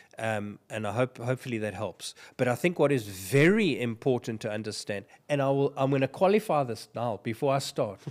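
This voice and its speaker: This man talks fairly quickly at a medium pitch with ordinary pitch variation. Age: 60s. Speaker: financial advice podcast host. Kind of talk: casual podcast discussion. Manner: halting, frequent repetitions.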